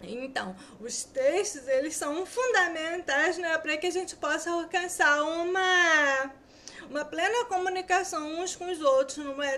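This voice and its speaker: At a fairly slow pace, a woman uses a raised, projected voice with an extremely high pitch and lively intonation. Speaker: student teacher. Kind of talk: lecture. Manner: sometimes stumbling over words.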